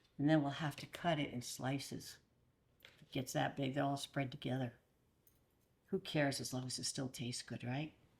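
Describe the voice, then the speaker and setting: A woman's very deep, low, somewhat breathy voice with a warm tone, fairly even intonation, moderate pace, long, frequent pauses and big swings in loudness. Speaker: grandmother. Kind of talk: casual cooking talk to camera. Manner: chatty, warm.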